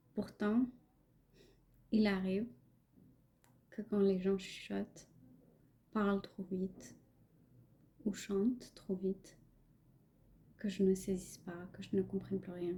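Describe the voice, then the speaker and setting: A woman speaks at a very slow pace in a medium pitch, with a dark, mellow tone that is somewhat breathy. Her intonation is monotone and flat, with long, frequent pauses. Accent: non-native. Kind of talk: personal reflective podcast monologue.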